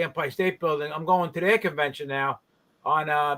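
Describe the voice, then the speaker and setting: This man has a plain, everyday voice, pitched fairly high. He talks at a moderate pace with ordinary pitch variation. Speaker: garage cleaning business owner and industry trainer. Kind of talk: casual chat. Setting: live stream video call.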